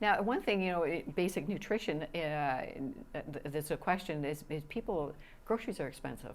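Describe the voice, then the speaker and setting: Her intonation is lively, and her pitch sits fairly low for a woman. She speaks at a moderate pace with a Canadian accent. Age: 60s. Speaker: TV interviewer. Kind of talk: TV interview. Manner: halting.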